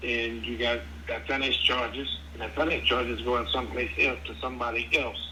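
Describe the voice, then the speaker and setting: Fairly quick speech from a man, amid noticeable background noise and audible room echo. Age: 70s. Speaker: prospective home buyer. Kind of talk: phone conversation. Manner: halting, repeats words.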